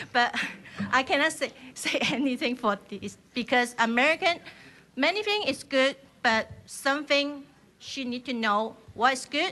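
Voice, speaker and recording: A woman with a Chinese accent speaks at a very slow pace in a raised, projected voice. Her tone is bright and sharp, and her pitch is high. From China. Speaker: member of the public testifying. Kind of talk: public testimony. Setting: legislative hearing. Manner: halting.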